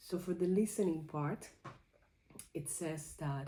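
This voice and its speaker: A woman's fairly low, somewhat breathy voice with a dark, mellow tone at a fairly slow pace. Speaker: creativity journaling vlogger. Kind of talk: personal reflection vlog. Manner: halting.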